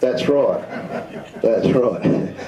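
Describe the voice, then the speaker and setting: A man with an Australian accent talks at a fairly slow pace. Audible room echo and noticeable background noise are present. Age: 60s. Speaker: presenter at amateur radio symposium. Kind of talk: talk with audience questions. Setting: community centre room with audience.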